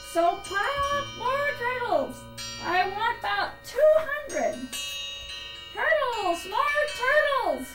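Bellowing in a put-on character voice, a woman speaks at a very slow pace against loud background noise. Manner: bellowing, thundering, domineering.

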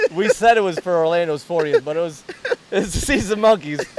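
Talking at a very fast pace, a man with a high-pitched voice is heard over noticeable background noise. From Detroit, Michigan. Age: 30s. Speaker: software project manager. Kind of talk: casual chat. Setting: outdoors by a waterfall.

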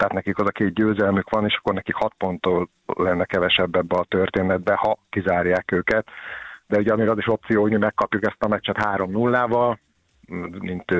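A very clean recording with a silent background, dry and close with no echo, very even loudness, monotone, flat intonation and a moderate pace. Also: man. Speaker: sports journalist. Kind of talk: casual chat.

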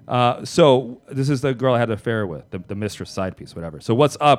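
A man with an American accent talks at a fairly quick pace while music plays in the background. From New York City, South Bronx. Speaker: comedian and podcast host. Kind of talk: casual chat.

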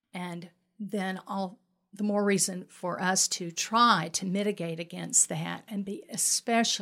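At a fairly slow pace, a medium-pitched woman talks with fairly even intonation on a very clean recording with a silent background. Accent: Southern US. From US South, Mobile, Alabama. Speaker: pastor. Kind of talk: podcast interview.

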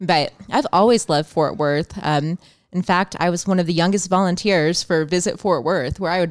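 A woman with an American accent uses a plain, everyday voice at a fairly low pitch with ordinary pitch variation, on a very clean recording with a silent background. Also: dry, close sound with no echo. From Champaign, Illinois, US Midwest. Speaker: photographer and publicist. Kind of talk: casual chat. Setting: studio.

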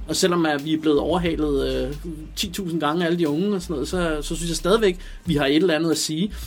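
A man talks very fast in a fairly high voice with fairly even intonation, over noticeable background noise. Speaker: rapper and producer. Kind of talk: interview.

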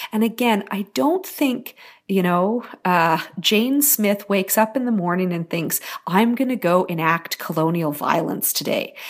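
A woman speaks in a Canadian accent at medium pitch, with lively intonation and a fairly slow pace. The recording is very clean, with a silent background. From western Canada, rural British Columbia. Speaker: academic researcher. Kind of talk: interview.

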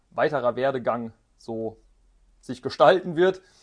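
In a quiet setting, this man's voice sits at a medium pitch. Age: 20s. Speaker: orthotics and prosthetics master craftsman, business owner. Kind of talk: interview. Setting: his workshop. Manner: hesitant with frequent fillers.

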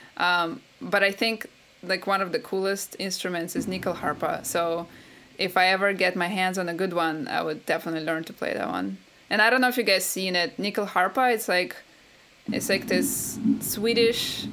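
A woman with a Russian accent, a bright, sharp tone, ordinary pitch variation and a moderate pace. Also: medium pitch for a woman. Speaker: game composer. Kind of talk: interview.

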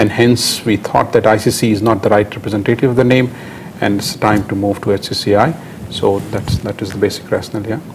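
Against noticeable background noise, a man with a fairly low pitch talks at a moderate pace with fairly even intonation. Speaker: company director. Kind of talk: interview. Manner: halting.

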